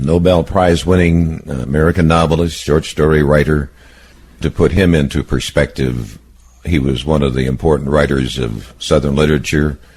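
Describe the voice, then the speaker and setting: Fairly even intonation carries over noticeable background noise. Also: man, very deep, low pitch for a man, moderate pace. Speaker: oral history interviewer. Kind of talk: interview questions.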